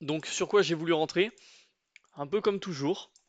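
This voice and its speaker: Against a quiet background with a dry, close sound with no echo, a man with a high voice speaks at a moderate pace with ordinary pitch variation. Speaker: trading YouTuber. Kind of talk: trading tutorial, chart walkthrough. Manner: casual with many filler hesitations.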